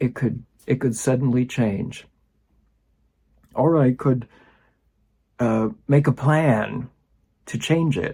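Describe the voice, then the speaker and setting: Over a silent background in a very clean recording, a man speaks at a very slow pace with long, frequent pauses, his somewhat breathy, dark, mellow voice set at medium pitch with ordinary pitch variation. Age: 60s. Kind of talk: personal reflection talk to camera.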